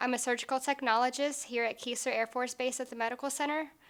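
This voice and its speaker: A woman's bright, sharp, high-pitched voice, flat and monotone, at a very fast pace on a very clean recording with a silent background. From US South, Florida (Fort Lauderdale), from age six. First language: Portuguese. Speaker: military surgical technologist. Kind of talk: interview testimony.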